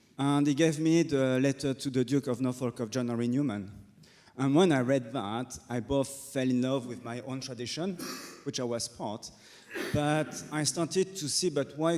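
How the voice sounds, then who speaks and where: A man's medium-pitched voice carries ordinary pitch variation and moves at a moderate pace. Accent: French. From France. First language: French. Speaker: Dominican friar. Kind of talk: panel discussion.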